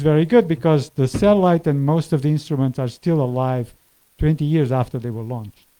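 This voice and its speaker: Dark, mellow tone from a man, fairly high pitch, ordinary pitch variation. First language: Portuguese. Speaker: climate scientist. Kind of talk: lecture.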